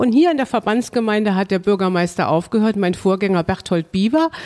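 Speaking at a fairly quick pace with lively intonation, a woman has an ordinary speaking voice at a medium pitch. The sound is dry and close, with no echo. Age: 50s. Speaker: mayor. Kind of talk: interview.

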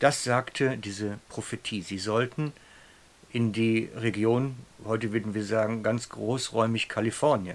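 In an unremarkable speaking voice, a man talks at a fairly slow pace and medium pitch with fairly even intonation. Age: 50s. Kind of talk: sermon-style storytelling.

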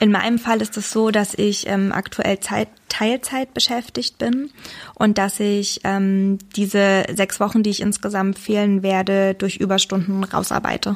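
Speaking at a fairly slow pace, a woman keeps a medium pitch, fairly even intonation and very even loudness. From Saxony, Germany. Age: 20s. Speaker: doctor. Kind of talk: interview. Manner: hesitant, many fillers.

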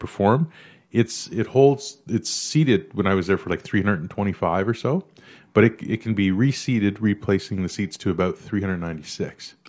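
A plain, everyday voice from a man with a Canadian accent, fairly low in pitch with ordinary pitch variation, on a very clean recording with a silent background. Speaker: stand-up comedian. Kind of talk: casual chat.

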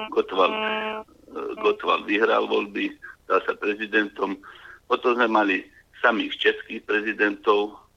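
A man at a fairly slow pace with long, frequent pauses, music in the background. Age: 50s. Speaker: caller. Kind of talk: phone-in comment.

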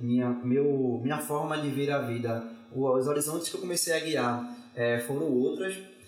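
A man talks at a very slow pace, with audible room echo and noticeable background noise. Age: 20s. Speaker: philosophy student and teacher. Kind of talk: casual chat. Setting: studio.

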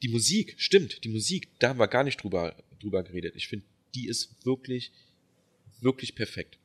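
Somewhat breathy and marked by long, frequent pauses, the voice has lively intonation in a very clean, dry, close recording with no echo and a silent background. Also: man, medium pitch for a man, moderate pace. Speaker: film podcast co-host. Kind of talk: casual chat.

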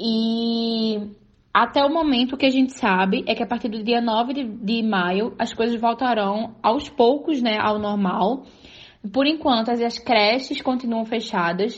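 A woman with an unremarkable speaking voice talks at a fairly slow pace, her fairly high pitch moving with ordinary variation. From Pernambuco, Brazil. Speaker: journalist. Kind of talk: recorded report.

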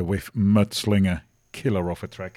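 A man's dark, mellow, fairly low voice at a fairly slow pace, in a very clean recording with a silent background. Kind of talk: radio dj patter, live music show. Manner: relaxed, upbeat and chatty, with a laid-back groove-loving warmth.

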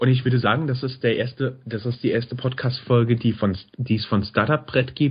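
A man's somewhat breathy, medium-pitched voice, flat and monotone, at a moderate pace. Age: 30s. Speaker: podcast host. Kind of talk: casual chat.

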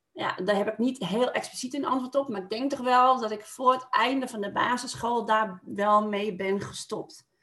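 With a plain, everyday voice, a woman speaks at a moderate pace and fairly high pitch, hardly pausing, her pitch varying in an ordinary way. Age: 40s. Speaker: podcast guest, mother. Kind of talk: casual conversation. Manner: laughs often.

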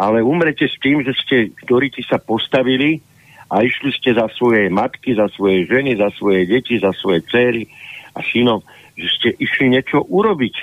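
A man is speaking at a moderate pace. His pitch variation is ordinary. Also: medium pitch for a man. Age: 60s. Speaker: political analyst and party leader. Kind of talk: political interview. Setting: phone call. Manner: animated.

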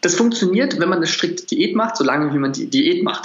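A man rattles off his words very fast, his pitch varying in ordinary ways, with plainly audible noise behind him. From Berlin. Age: 20s. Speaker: nutrition coach. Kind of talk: interview.

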